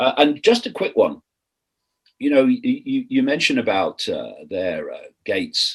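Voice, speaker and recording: Music plays behind a man who speaks at a moderate pace. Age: 60s. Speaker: podcast co-host. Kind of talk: casual chat. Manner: halting.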